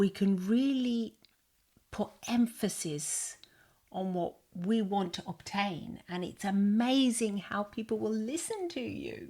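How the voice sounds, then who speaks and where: Very slowly, a woman speaks at a medium pitch with ordinary pitch variation. Her voice has a dark, mellow tone and is somewhat breathy. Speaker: hypnotherapist. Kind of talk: podcast conversation.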